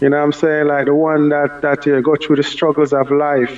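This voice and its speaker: A man speaks with a Jamaican accent at a fairly high pitch. His intonation is monotone and flat. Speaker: dancehall artist. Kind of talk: radio interview.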